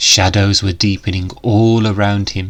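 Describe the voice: The speaker moves at a fairly slow pace with little pitch movement.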